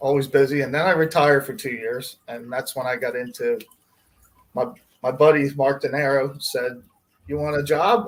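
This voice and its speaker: An American-accented man talks at a moderate pace in a normal speaking voice. His pitch is fairly high, with ordinary variation. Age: 60s. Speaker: pet store fish department manager. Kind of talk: livestream interview.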